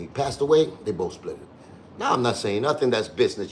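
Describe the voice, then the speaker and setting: A man talks at a fairly quick pace. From Cuba. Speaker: online show host. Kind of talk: livestream commentary rant. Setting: home livestream, on couch. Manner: fast.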